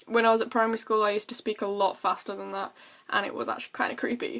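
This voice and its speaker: Against noticeable background noise, a woman speaks at a fairly high pitch with an English accent. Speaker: vlogger. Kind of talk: casual chat. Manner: fast.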